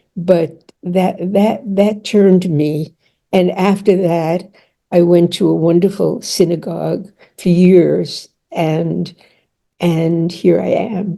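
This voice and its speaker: In a monotone, flat intonation, a woman with a fairly low pitch and a dark, mellow tone speaks at a very slow pace. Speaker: author and therapist. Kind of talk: casual chat. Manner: halting.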